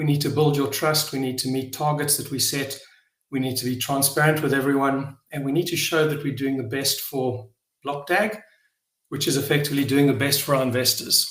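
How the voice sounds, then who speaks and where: In a South African accent, a man speaks at a fairly quick pace and fairly high pitch with fairly even intonation, and the room echo is audible. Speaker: blockchain project founder. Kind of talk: live online AMA session. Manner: halting, many fillers and repetitions.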